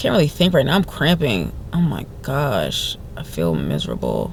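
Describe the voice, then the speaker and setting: A woman with a New Jersey accent talks over noticeable background noise. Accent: New Jersey American English. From New Jersey, US. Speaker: vlogger. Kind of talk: casual vlog talk. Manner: frequent stutters and repetitions.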